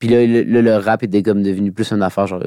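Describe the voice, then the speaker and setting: A man talks at a very fast pace in a dark, mellow tone with a fairly low pitch. The recording is very clean, with a silent background and a dry, close sound with no echo. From Quebec City. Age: 20s. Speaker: rapper. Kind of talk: casual chat.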